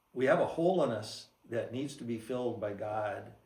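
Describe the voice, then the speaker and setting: A man talks at a medium pitch with lively intonation, somewhat breathy. Room echo is audible. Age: 70s. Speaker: church member giving testimony. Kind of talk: testimony. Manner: halting.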